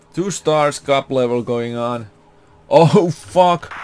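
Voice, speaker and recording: A man with a Finnish accent over noticeable background noise. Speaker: gaming youtuber. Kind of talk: gameplay commentary. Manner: animated.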